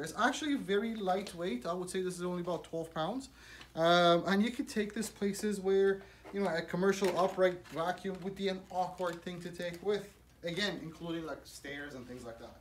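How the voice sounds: A man speaks with a high pitch. Room echo is audible.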